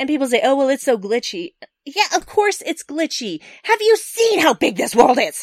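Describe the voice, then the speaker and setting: Recorded with a dry, close sound and no echo, a woman speaks at a moderate pace. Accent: American. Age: 40s. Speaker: podcast guest, gamer. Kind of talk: casual chat. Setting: remote call across time zones.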